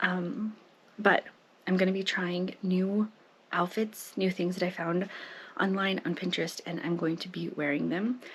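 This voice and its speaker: Somewhat breathy, a woman speaks at a medium pitch and a fairly slow pace, with fairly even intonation and long, frequent pauses. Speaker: lifestyle vlogger. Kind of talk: personal vlog monologue. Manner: casual, conversational.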